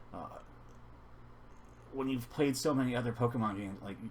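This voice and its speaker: A man speaks with lively intonation and vocal fry. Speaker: gaming YouTuber. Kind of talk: casual video game reaction commentary. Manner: halting, with self-noted stutters and fillers.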